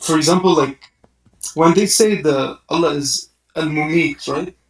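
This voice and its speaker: Here a man talks with an Arabic accent at a fairly high pitch. His pace is fairly slow. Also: fairly even intonation. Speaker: caller. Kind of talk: call-in question. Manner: hesitant, many 'like' fillers.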